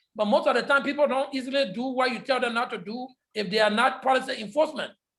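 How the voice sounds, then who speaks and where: A loud man's voice at an extremely high pitch, very fast in pace, with fairly even intonation. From Liberia. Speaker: public health lecturer. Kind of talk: lecture Q&A.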